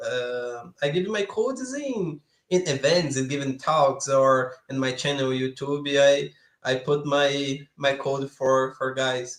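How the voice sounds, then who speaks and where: Speaking very slowly with a Brazilian Portuguese accent, a man keeps his fairly high pitch in fairly even intonation. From Brazil, São Paulo area. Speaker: software developer, YouTuber. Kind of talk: live coding stream. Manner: halting.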